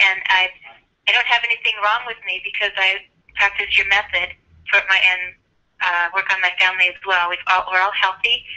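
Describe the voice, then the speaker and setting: At a moderate pace, a woman speaks in a medium pitch with a monotone, flat intonation. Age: 50s. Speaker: caller, longtime student of the method. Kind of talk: testimony. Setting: phone call.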